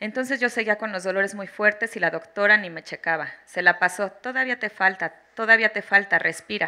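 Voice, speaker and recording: In a quiet background, a woman with a bright, sharp tone and medium pitch talks at a fairly quick pace with ordinary pitch variation. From Mexico. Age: 30s. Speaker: mother giving testimony on obstetric violence; witness. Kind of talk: testimony. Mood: serious, emotional. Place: hall. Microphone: handheld.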